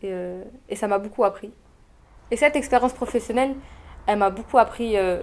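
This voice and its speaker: A woman talks at a fairly quick pace with a fairly high pitch. Her pitch variation is ordinary, and she takes long, frequent pauses. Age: 20s. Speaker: former intern at an event agency. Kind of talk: testimonial interview. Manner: hesitant, many fillers.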